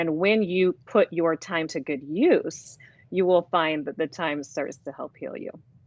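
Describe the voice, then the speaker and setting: A woman with a plain, everyday voice speaks at a fairly low pitch, with ordinary pitch variation. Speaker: divorce coach and author. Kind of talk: interview about divorce.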